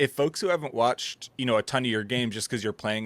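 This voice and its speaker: A man with a strong Minnesotan accent, dry and close with no echo, in a very clean recording against a silent background. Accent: thick Minnesota. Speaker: podcast host. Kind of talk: interview.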